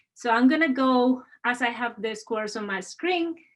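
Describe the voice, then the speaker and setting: The delivery comes in a Spanish accent at a moderate pace. Pitch variation is ordinary. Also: woman. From Spain. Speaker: university administrator. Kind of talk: webinar moderation. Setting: video call.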